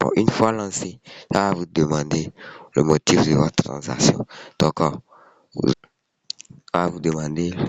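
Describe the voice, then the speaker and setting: The pace is fairly slow as a man talks. His pitch is very deep and low, with ordinary variation. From Ivory Coast. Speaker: online money tutorial youtuber. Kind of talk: tutorial. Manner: casual, hesitant with fillers.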